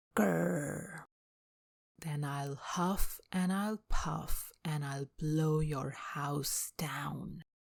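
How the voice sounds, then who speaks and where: In a put-on character voice, the speaker delivers raspy, low-to-middle-pitched lines in a menacing tone at a very slow pace. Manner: growling, menacing.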